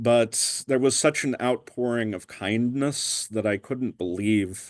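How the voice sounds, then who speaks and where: An American-accented man at a medium pitch, fairly slow yet with hardly any pauses, ordinary pitch variation, and a quiet background. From Pennsylvania. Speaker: guest sharing conversion story. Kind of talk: testimony. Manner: halting, frequent ums.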